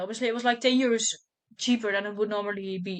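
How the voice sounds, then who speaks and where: Speaking with a Dutch accent, a woman has a fairly high pitch and fairly even intonation. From Netherlands. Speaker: book content creator. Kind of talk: casual chat.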